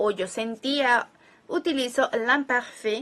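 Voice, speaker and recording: This woman's voice sits high in pitch. Her pitch varies in an ordinary way. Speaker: language teacher. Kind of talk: tutorial. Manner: conversational, explanatory.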